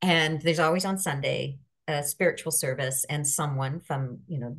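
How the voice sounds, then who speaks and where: With a Canadian accent, a woman speaks at a moderate pace in a very deep, low pitch, somewhat breathy and fairly even in intonation. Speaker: life coach. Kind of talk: casual chat.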